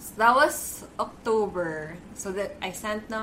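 Noticeable background noise and audible room echo surround a woman with a fairly high pitch. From Philippines. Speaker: beauty blogger and editor. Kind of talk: casual chat.

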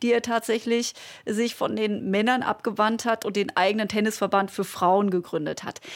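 A woman's fairly high voice with ordinary pitch variation, an ordinary speaking voice. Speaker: podcast host, former sports journalist. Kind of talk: interview.

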